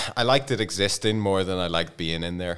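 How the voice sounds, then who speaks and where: A man with a Belfast accent. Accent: Belfast Northern Irish. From Northern Ireland, Belfast. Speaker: podcast guest. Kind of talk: casual chat. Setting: studio.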